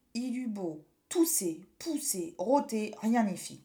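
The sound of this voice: Lively intonation throughout an unforced reading voice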